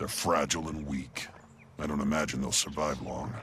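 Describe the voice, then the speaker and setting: A put-on character voice growls at a moderate pace. Background noise is clearly heard. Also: man, very deep, low pitch for a man. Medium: video game. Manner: gruff, sardonic.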